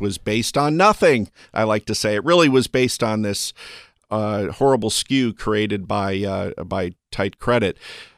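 In a dry, close recording with no echo, a man speaks at a fairly low pitch and a fairly slow pace, with ordinary pitch variation. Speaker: real estate appraiser and analyst. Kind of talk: interview. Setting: studio. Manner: halting, stumbling over words.

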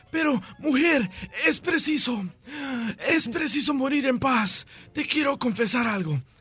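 Putting on a hoarse character voice at an extremely high pitch, a man speaks at a fairly slow pace with lively intonation and long, frequent pauses.

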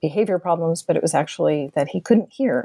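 A woman with an American accent, her tone dark and mellow, in a dry, close sound with no echo. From Boston, Massachusetts. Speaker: professor. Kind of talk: interview.

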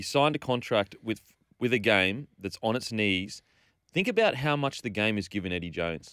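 A man with an Australian accent speaks at a moderate pace and medium pitch, with lively intonation and a bright, sharp tone. The recording is very clean with a silent background and a dry, close sound with no echo. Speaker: radio sports panelist. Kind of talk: angry rant. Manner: indignant, emphatic, repeating phrases; opinionated, outspoken.

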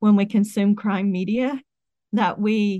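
A woman with an American accent speaks at a fairly slow pace in a normal speaking voice, medium in pitch, with a dry, close sound, no echo and a quiet background. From West Virginia. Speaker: professor. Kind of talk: interview.

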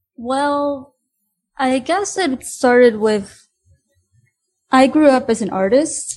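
The speaker has a Spanish accent, a very slow pace and ordinary pitch variation. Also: woman. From Honduras. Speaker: student and painter. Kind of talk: interview.

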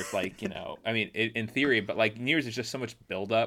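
Speaking at a fairly quick pace at medium pitch, a man has an ordinary speaking voice, captured on a very clean recording with a silent background. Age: 30s. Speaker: tennis journalist and podcast host. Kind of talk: casual chat.

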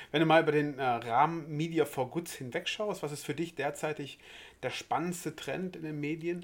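The delivery stays at a moderate pace in an ordinary speaking voice. Intonation changes little and remains fairly even. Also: man, fairly high pitch for a man. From West Germany. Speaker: podcast host. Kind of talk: interview.

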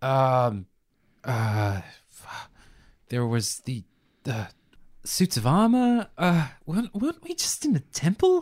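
A man's medium-pitched, somewhat breathy voice at a very slow pace, with very wide pitch swings and long, frequent pauses, in a dry, close sound with no echo. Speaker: tabletop RPG player. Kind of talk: tabletop RPG player narrating his character's actions, in-character.

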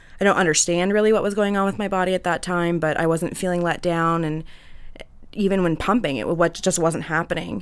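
Fairly quick speech with fairly even intonation. It is a plain, everyday voice. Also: woman, fairly low pitch for a woman. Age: 20s. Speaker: mother, sales rep. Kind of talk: casual panel chat.

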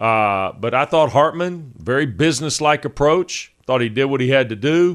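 Against a quiet background, a man with a plain, everyday voice talks at a moderate pace, his pitch fairly high with ordinary variation. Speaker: sports radio host. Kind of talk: casual sports talk show banter. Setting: studio, streamed show.

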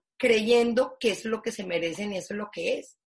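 This woman's voice is somewhat breathy. Her pitch sits fairly high. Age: 50s. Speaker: foundation president. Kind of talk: interview.

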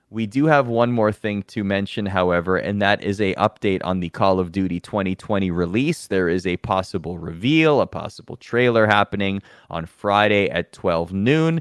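A normal speaking voice moves at a moderate pace with ordinary pitch variation. The sound is dry and close with no echo. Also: man, fairly low pitch for a man. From Toronto, Canada. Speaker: esports show host. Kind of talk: casual chat.

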